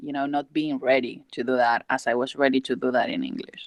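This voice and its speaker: This woman's voice sits very deep and low in pitch. Her intonation stays fairly even. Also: dry, close sound with no echo. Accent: Spanish. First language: Spanish. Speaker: student. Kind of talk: casual chat. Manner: halting.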